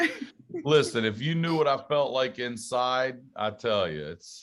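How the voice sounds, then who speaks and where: A man speaks at a fairly slow pace with a slight Southern US accent. His pitch is medium. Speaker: stand-up comedian and podcast host. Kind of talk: casual interview chat.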